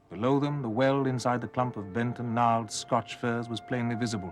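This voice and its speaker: Music plays in the background as a man speaks at a moderate pace with a medium-pitched voice. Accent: British. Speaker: actor. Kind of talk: ghost story reading.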